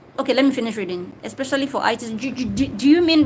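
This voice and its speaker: With noticeable background noise behind her, a woman races along at a very fast pace in a high voice with ordinary pitch variation. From Nigeria, Delta State. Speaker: YouTuber answering viewer questions. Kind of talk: live stream Q&A. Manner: casual, conversational.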